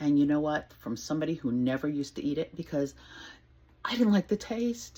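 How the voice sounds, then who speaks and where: Her pitch swings very widely as this woman speaks. Her voice is somewhat breathy, with a dark, mellow tone. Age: 60s. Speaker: home cook and weight-loss vlogger. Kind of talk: casual talk to camera, cooking demo. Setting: home kitchen. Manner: friendly, conversational, unrehearsed.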